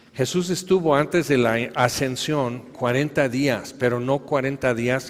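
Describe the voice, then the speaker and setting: A man speaks slowly-ish, at a fairly slow pace, with medium pitch and ordinary pitch variation. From Tehuacán, Puebla, Mexico. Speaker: preacher. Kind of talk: sermon.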